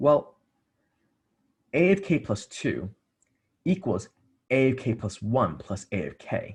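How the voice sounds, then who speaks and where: The background stays quiet. A man talks, his voice somewhat breathy. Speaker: math tutor. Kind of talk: tutorial.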